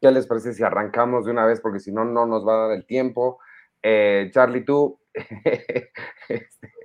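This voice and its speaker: A man with a Mexican accent speaks at a medium pitch and a moderate pace, leaving long, frequent pauses, his intonation monotone and flat. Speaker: podcast co-host. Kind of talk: casual chat.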